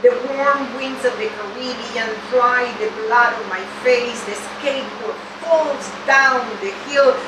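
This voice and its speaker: A woman with a high pitch and ordinary pitch variation speaks at a very slow pace against noticeable background noise. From Venezuela. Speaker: poet. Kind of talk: poetry reading. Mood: solemn, serious. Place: shop.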